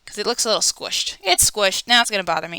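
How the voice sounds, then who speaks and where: A woman's voice comes through in a dry, close sound with no echo. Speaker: art teacher. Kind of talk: drawing tutorial. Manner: quieter while focusing on detail.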